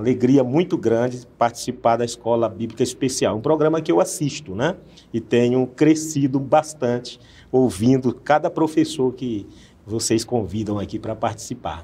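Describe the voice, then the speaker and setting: A man with a medium-pitched voice has a dark, mellow tone and ordinary pitch variation. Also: moderate pace. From Northeast Brazil. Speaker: pastor. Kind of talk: Bible study discussion.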